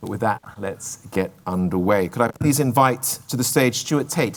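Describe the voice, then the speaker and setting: A man of medium pitch speaks at a moderate pace. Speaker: event host. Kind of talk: event announcements. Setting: stage at business forum. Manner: clear enunciation.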